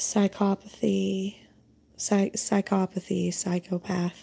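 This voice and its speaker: A woman with an American accent speaks at a very slow pace, her pitch fairly low and her tone dark and mellow. Her voice is somewhat breathy, on a very clean recording with a silent background. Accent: Southern US, varies a lot. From US South. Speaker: spiritual channeler and tarot reader. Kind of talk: casual spiritual vlog monologue. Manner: rambling, many fillers.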